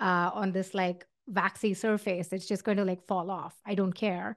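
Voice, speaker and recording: A woman with an Indian accent speaks at a fairly slow pace and medium pitch in a flat monotone over a quiet background. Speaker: tech founder and podcast host. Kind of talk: casual advice talk. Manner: hesitant with fillers.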